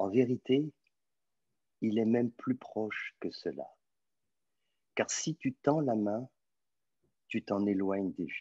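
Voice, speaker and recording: Speaking at a very slow pace with long, frequent pauses, a man is heard in a dry sound with no echo over a quiet background. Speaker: spiritual teacher. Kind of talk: question and answer session. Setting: video call. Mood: calm, gentle, reflective. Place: home room. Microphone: video call.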